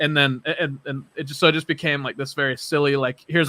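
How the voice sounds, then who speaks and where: A loud man speaks very fast at a medium pitch in a monotone, flat intonation. His tone is bright and sharp, the sound dry and close with no echo. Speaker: percussionist and podcast host. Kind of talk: casual interview chat.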